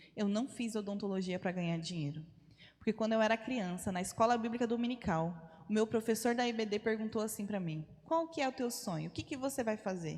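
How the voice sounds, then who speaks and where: A woman talks with lively intonation at a fairly high pitch. Her voice is somewhat breathy and her pace moderate. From Brazil, Rondônia (North). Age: 30s. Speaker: missionary. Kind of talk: testimony. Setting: church.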